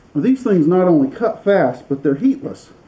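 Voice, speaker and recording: A man speaks at a moderate pace in a plain, everyday voice. His intonation is lively. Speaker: knife maker. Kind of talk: workshop tutorial talk to camera.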